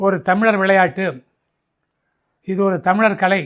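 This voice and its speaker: This man's high-pitched voice keeps a fairly even intonation. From Tamil Nadu. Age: 80s+. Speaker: retired physical education teacher and sports coach. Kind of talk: interview answer. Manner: clear, composed.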